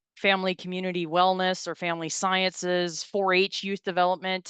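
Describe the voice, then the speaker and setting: A woman speaks at a fairly quick pace in a fairly low pitch, her intonation flat and monotone. The sound is dry and close with no echo, and the background is quiet. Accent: North Dakota. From North Dakota, Galesburg. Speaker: farm safety extension educator and presenter. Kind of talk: webinar presentation. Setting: video call webinar. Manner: halting, many fillers and repetitions.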